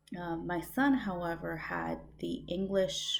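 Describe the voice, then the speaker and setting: Someone with a Spanish accent talks at a very slow pace. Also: woman. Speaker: student. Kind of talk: recorded course reflection. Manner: hesitant, many fillers.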